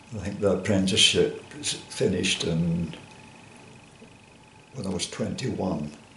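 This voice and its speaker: Against noticeable background noise, a man with a very deep, low pitch speaks at a fairly slow pace. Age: 80s+. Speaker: former coal miner and joiner. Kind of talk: oral history interview answer.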